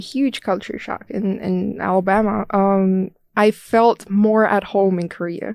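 A woman with an Estonian accent speaks at a fairly slow pace in a dark, mellow tone. The sound is dry and close with no echo, on a very clean recording with a silent background. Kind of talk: casual interview.

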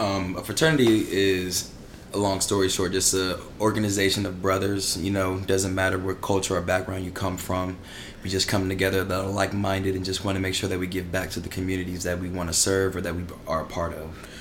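A man with a very deep, low pitch and monotone, flat intonation at a fairly quick pace, amid noticeable background noise and audible room echo. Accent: American. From Maryland. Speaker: fraternity member. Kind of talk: casual chat.

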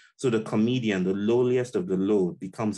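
Dark, mellow male tones over a hushed backdrop. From Nigeria (Yoruba). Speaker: psychology professor and essayist. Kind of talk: interview conversation. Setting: video call.

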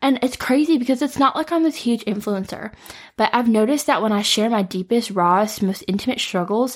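A woman with an American accent speaks at a fairly high pitch and a fairly quick pace. Her somewhat breathy, warm tone carries lively intonation and very even loudness. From US Midwest, Metro Detroit. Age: 20s. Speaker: podcast host. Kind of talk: solo podcast monologue. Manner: warm, casual, with frequent laughs.

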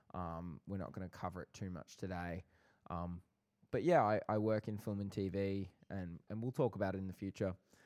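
In a dry, close sound with no echo, a man with an Australian accent speaks at a fairly quick pace in a very deep, low voice with fairly even intonation. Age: 20s. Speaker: podcast co-host, film and TV worker. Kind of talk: casual chat.

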